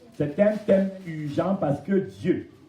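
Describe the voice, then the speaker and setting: Audible room echo surrounds a man as he speaks. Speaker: pastor. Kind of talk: sermon. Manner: animated.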